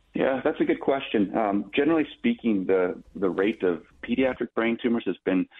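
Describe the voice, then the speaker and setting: A man with an American accent and an unremarkable speaking voice, fairly low in pitch, at a moderate pace with ordinary pitch variation. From Minnesota. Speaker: pediatric neurosurgeon. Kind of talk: radio interview.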